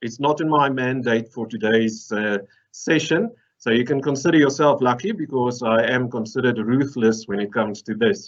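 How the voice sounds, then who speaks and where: A man talks at a medium pitch and a moderate pace. He has a slight Afrikaans accent. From South Africa. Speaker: mineral processing engineer. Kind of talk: conference presentation. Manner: humorous, conversational.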